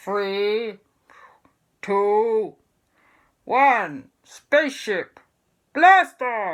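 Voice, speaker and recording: A female-sounding, put-on character voice at a very slow pace with long, frequent pauses. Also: fairly high pitch for a woman. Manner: excited countdown.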